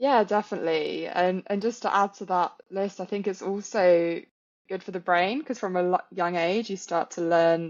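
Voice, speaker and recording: Speaking with a strong British accent, a woman talks at a moderate pace. Her pitch is medium, with ordinary pitch variation. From England. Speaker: yoga teacher. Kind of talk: casual chat.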